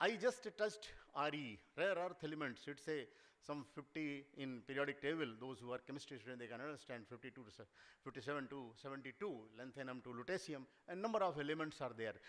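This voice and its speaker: A man's fairly high voice moves at a very fast pace, with lively intonation and loudness that swings widely. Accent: Indian. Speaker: seminar speaker on mining geology. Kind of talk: lecture.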